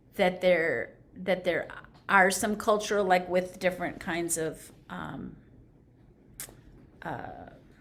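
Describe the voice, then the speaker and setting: Speech comes very slowly, broken by long, frequent pauses and big swings in loudness. The intonation stays fairly even, with vocal fry. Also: woman, medium pitch for a woman. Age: 60s. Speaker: conversation participant. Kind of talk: reflective conversation. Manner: halting.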